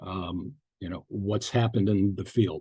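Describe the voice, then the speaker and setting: With a dark, mellow tone, a man speaks in a somewhat breathy voice and fairly even intonation. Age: 70s. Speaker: psychotherapist presenter. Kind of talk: webinar lecture. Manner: halting, many fillers and repetitions.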